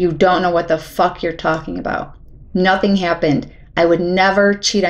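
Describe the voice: The intonation is fairly even. It is delivered as plain reading aloud.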